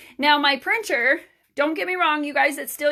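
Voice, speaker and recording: A woman speaks at a moderate pace in a raised, projected voice, her high pitch carrying a bright, sharp tone and ordinary pitch variation. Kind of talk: live stream tutorial. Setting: home mailing room. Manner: animated.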